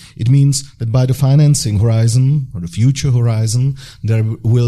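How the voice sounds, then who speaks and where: A man with a Czech accent speaks at a moderate pace with medium pitch and ordinary pitch variation. His tone is dark and mellow, and somewhat breathy. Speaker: deputy government minister. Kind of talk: panel discussion. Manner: halting.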